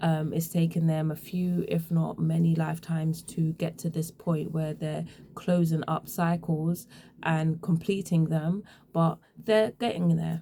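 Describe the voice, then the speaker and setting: A woman's fairly low, somewhat breathy voice with an English accent, dark and mellow in tone, monotone and flat, at a fairly slow pace. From England. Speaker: tarot reader. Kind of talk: tarot reading. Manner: casual.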